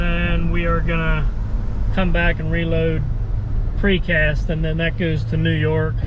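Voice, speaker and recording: Over noticeable background noise, a man talks at a fairly slow pace, the sound dry with no echo. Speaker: truck driver vlogger. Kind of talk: casual vlog chat. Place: car. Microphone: phone near.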